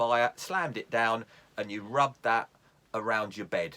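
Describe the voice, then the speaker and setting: In a southern English accent, a man speaks at a medium pitch with a bright, sharp tone. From London area, England. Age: 60s. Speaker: YouTube vlogger. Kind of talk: casual tutorial. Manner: hesitant, with fillers.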